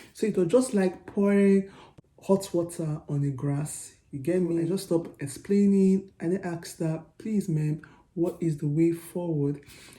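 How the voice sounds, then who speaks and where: In a Nigerian accent, the voice is somewhat breathy with a dark, mellow tone, ordinary pitch variation and a moderate pace. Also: woman, fairly low pitch for a woman. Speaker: vlogger. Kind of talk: personal storytelling vlog. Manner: animated.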